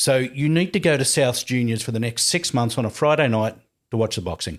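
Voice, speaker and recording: A man with an Australian accent, medium pitch, lively intonation and a fairly quick pace, on a very clean recording with a silent background. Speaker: podcast host, former journalist. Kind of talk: casual interview chat.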